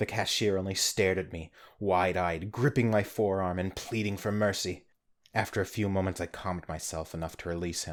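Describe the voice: Intonation stays fairly even during this plain reading aloud.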